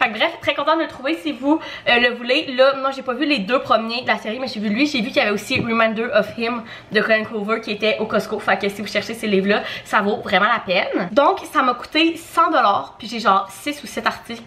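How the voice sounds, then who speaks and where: A woman's voice, fairly high in pitch with ordinary pitch variation, at a fairly quick pace. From Quebec. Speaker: lifestyle vlogger. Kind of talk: casual vlog monologue.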